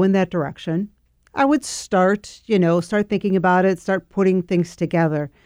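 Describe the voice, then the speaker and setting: A woman's medium-pitched voice at a moderate pace, dark and mellow in tone, in a very clean recording with a silent background and a dry, close sound with no echo. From Argentina, moved to Chicago suburbs as a child. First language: Spanish. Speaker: HR business owner. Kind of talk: radio interview.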